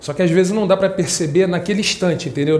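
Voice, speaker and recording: Amid noticeable background noise and audible room echo, a man talks at a fairly quick pace with fairly even intonation. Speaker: spiritist lay speaker. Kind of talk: spiritual talk to congregation. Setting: prayer house, in front of audience. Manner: fast.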